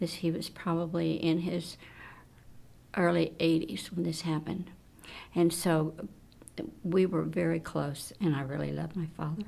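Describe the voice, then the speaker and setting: This woman speaks at a moderate pace with a fairly low pitch, vocal fry, fairly even intonation, and long, frequent pauses. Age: 80s+. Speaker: research volunteer. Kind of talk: interview testimony.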